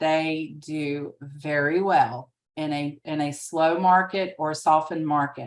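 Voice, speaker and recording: A woman speaks with a Southern US accent in a very deep, low voice. Her pace is fairly slow and her intonation fairly even. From US South, rural. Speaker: real estate agent and trainer. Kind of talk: training webinar. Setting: video call with screen share.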